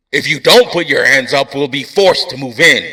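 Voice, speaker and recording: A man puts on a growling character voice. It sits high in pitch and moves at a moderate pace. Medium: read story. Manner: blustering, authoritative.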